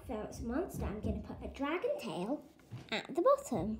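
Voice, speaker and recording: Heard through audible room echo and light background noise, a woman speaks at a fairly slow pace. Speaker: craft demonstrator. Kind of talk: tutorial. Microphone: phone near.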